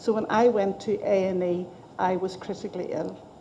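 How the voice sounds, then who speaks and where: At a medium pitch and fairly quick pace, a woman with a Northern Irish accent speaks with fairly even intonation. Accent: Northern Irish (Belfast). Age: 60s. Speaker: patient giving evidence to an inquiry. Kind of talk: testimony.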